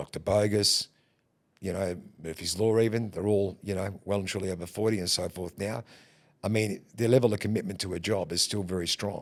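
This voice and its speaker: Recorded very cleanly against a silent background, a man with an Australian accent talks at a fairly low pitch with fairly even intonation. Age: 50s. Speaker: booking agent and band leader. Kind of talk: podcast interview. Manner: halting.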